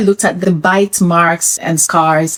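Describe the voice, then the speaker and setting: A woman talks over noticeable background noise. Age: 40s. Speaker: vlogger sharing personal health story. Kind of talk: personal testimony vlog. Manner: conversational.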